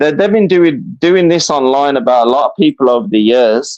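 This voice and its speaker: In a dry, close sound with no echo, a man's intonation is lively. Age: 50s. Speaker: caller. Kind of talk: casual chat. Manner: halting.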